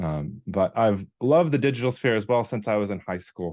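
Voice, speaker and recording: In a North Dakota accent, a man speaks at a moderate pace against a quiet background. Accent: American, North Dakota. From US Upper Midwest, North Dakota. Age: 30s. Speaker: video content creator and ministry worker. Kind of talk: online workshop presentation. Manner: halting, many fillers.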